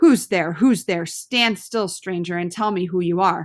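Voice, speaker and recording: In a put-on, growling character voice, a woman speaks at a medium pitch and a moderate pace in a very clean recording with a silent background. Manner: threatening.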